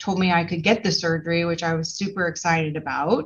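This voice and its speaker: A woman talks fairly quickly in an unremarkable speaking voice, pitched fairly low. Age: 40s. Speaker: patient sharing recovery experience. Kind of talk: panel discussion testimony.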